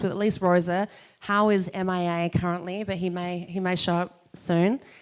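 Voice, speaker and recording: A woman with an Australian accent speaks in a monotone with flat intonation. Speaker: podcast host and entrepreneur. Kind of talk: event welcome speech. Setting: live event with audience.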